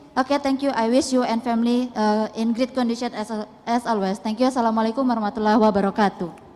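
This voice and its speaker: A woman with a fairly high voice talks very fast in a fairly even tone, with noticeable noise in the background. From Indonesia. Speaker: audience member asking a question. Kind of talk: audience question at a public talk. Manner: halting.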